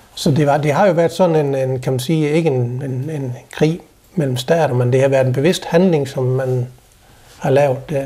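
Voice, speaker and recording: A man with an ordinary speaking voice talks at a moderate pace and fairly high pitch with fairly even intonation. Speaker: guest's husband. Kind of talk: casual conversation.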